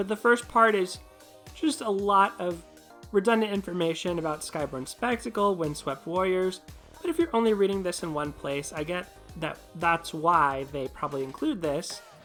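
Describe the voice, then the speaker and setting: Over music in the background, a woman talks at a moderate pace with lively intonation and a medium pitch. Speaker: gaming video creator. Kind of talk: commentary vlog.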